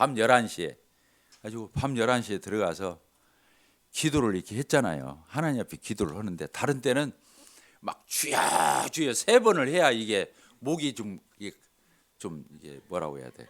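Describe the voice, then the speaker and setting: Using an animated tone and vocal fry, a man speaks at a moderate pace with very wide pitch swings. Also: very clean recording, silent background. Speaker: lay preacher giving testimony. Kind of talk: sermon with personal testimony. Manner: animated, conversational.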